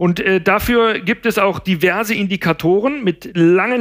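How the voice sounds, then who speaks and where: Pitched high, a man's voice moves at a moderate pace with ordinary pitch variation. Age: 50s. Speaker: pet food nutrition expert. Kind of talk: casual chat. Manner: halting, many fillers.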